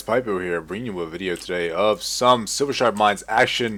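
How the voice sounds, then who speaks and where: A man's fairly low, bright and sharp voice, animated in tone, with lively intonation at a moderate pace. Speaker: gaming video creator. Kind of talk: gameplay commentary. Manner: casual, animated.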